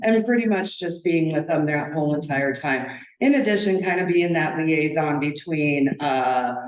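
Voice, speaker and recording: Through audible room echo and noticeable background noise, a woman speaks at a very deep, low pitch with ordinary pitch variation. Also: moderate pace. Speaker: victim advocate. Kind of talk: public presentation. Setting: county board meeting at podium. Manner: loud; halting.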